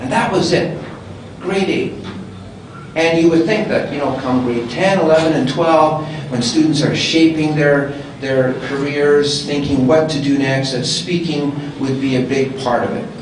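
Noticeable background noise and audible room echo around a man speaking at a fairly slow pace. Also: ordinary pitch variation. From Canadian Prairies. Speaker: public speaking club member. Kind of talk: panel discussion. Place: hall.

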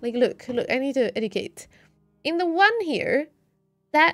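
A woman with a Swedish accent at a moderate pace, animated in tone, with very wide pitch swings and faint music in the background. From Sweden. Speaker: video game streamer. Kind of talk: live gameplay commentary. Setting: live stream. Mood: mildly exasperated, explaining. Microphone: studio mic.

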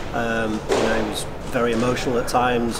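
Male speaker at a moderate pace amid loud background noise. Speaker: retired squash player, now commentator. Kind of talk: tribute interview. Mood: warm, reflective. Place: hall.

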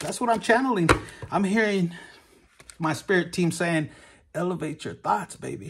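There is light background noise behind a man speaking in a high voice. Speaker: tarot reader. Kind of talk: casual tarot reading chat. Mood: warm, animated. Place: home room. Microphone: phone near.

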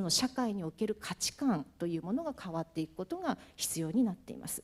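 A woman's voice with a dark, mellow tone races along at a very fast pace. Her pitch swings very widely. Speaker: moderator, university researcher; moderator. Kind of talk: panel discussion moderating. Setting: conference hall with audience. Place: hall. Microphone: handheld.

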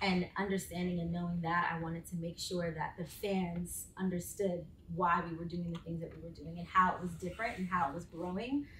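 The voice moves at a fairly quick pace with hardly any pauses and fairly even intonation, with audible room echo and light background noise. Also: woman, fairly low pitch for a woman. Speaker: sports entertainment director and former professional dancer; panelist. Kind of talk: panel discussion. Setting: live panel with audience in the room. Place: meeting room. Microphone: camera far.

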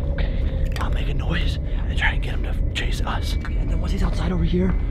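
A quiet, whispering man at a fairly quick pace, music in the background. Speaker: vlogger. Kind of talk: casual vlog chat. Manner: hushed, tense planning whisper.

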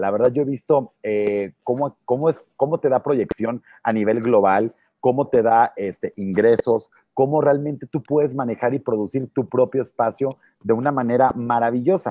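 Speaking at a moderate pace with ordinary pitch variation, a man with a medium-pitched voice sounds dry with no echo against a quiet background. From Mexico, Tampico, Tamaulipas. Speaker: youtube interviewer. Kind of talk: interview. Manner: halting, repeats words. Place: hall. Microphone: earbuds.

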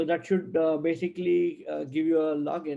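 The speaker moves at a fairly quick pace. The background is quiet. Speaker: presenter. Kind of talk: tutorial. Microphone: webcam.

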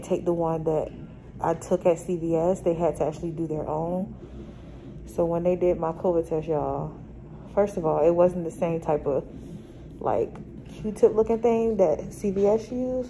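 With music in the background, a woman speaks at a fairly slow pace and a fairly low pitch, showing ordinary pitch variation and taking long, frequent pauses. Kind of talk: casual vlog chat. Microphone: phone near.

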